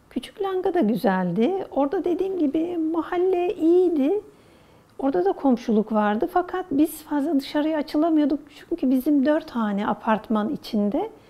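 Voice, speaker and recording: A woman's high voice with very wide pitch swings and very even loudness, against noticeable background noise. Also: moderate pace. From Istanbul, Turkey. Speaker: oral history interviewee. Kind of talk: interview answer, reminiscing.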